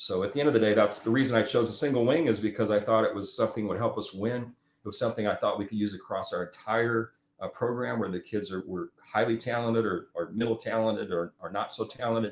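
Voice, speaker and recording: With an American accent, a man at a medium pitch rattles along very fast, his intonation fairly level. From US Midwest, South Omaha, Nebraska. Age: 60s. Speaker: youth football coach. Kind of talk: casual chat.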